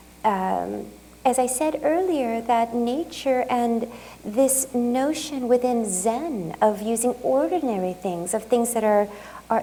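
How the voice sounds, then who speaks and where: Over noticeable background noise, a woman talks at a fairly slow pace in a high voice with ordinary pitch variation. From Japan and California, US. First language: Japanese. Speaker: artist. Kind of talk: lecture Q&A. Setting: museum talk with audience. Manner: halting, many fillers.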